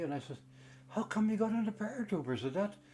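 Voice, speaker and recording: Very fast and with lively intonation, a man delivers his lines. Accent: Canadian Prairie. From Canada, Winnipeg. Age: 80s+. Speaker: war veteran. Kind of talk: recorded testimony. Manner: halting.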